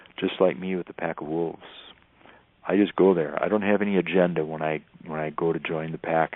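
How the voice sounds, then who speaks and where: A man with a Northern US accent speaks in a very deep, low pitch at a fairly quick pace, his intonation fairly even. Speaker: wilderness teacher and tracker. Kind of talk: radio interview.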